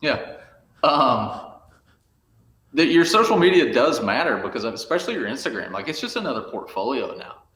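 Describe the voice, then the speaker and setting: A man with a Southern US accent speaks at a moderate pace. Long, frequent pauses break up his speech amid audible room echo. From rural Arkansas. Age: 40s. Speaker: photographer. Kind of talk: podcast interview.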